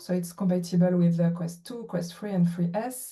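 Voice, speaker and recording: In a French accent, a woman talks at a medium pitch with fairly even intonation. Room echo is audible and there is noticeable background noise. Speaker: VR producer. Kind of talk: panel introduction. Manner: halting, many fillers.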